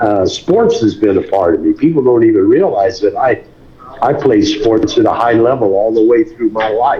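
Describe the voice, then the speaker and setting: A moderate pace and very even loudness over noticeable background noise. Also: man. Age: 80s+. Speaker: boxing trainer. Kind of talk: interview. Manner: halting.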